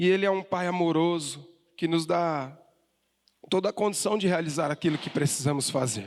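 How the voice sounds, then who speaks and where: Here a man speaks at a high pitch with ordinary pitch variation. His pace is moderate. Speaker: pastor. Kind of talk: sermon.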